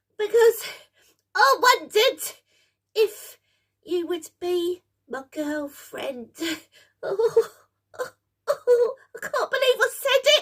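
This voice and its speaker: Someone puts on a character voice at an extremely high pitch. The pace is fairly slow, broken by long, frequent pauses. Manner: nervous, excitable.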